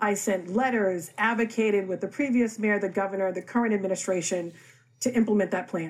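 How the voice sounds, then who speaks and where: A woman with an American accent talks at a fairly quick pace. Hers is an unremarkable speaking voice. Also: medium pitch for a woman, ordinary pitch variation. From Boston, Roxbury. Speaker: city councillor. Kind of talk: political debate.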